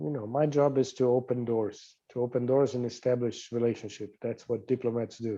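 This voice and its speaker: Against a quiet background, a man with a Portuguese accent speaks in a dark, mellow tone with monotone, flat intonation. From Brazil, São Paulo. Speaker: diplomat. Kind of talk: interview.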